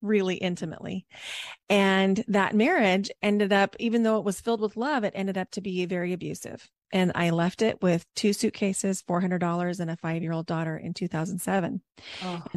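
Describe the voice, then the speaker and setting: A woman talks at a moderate pace and medium pitch with ordinary pitch variation. The recording is very clean and dry, close and echo-free, with a silent background. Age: 40s. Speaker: reiki healer and breath work coach. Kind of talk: casual interview chat. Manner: calm, soothing.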